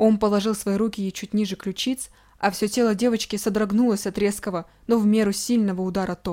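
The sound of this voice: This unforced reading voice keeps a fairly even intonation.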